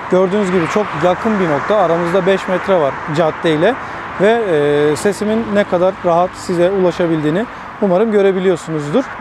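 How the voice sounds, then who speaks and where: A man with a high voice speaks at a fairly quick pace, his loudness very even and his intonation fairly even. Noticeable background noise runs through the clip. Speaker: tech reviewer and photographer. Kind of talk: product review tutorial. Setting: outdoors by a six-lane road.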